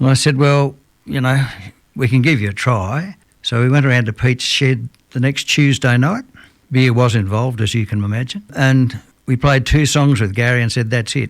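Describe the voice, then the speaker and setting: Speaking with an Australian accent, a man has a medium pitch and ordinary pitch variation at a moderate pace. The recording is very clean, with a silent background. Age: 70s. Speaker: musician. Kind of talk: radio interview. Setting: radio studio. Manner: casual.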